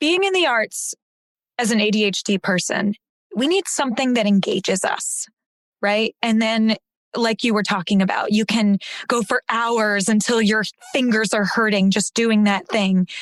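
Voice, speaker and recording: Heard in a dry, close sound with no echo, a woman with a fairly high pitch and a plain, everyday voice talks at a moderate pace, with ordinary pitch variation and very even loudness. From San Antonio, Texas. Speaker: actor and audiobook narrator. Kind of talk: podcast interview answer.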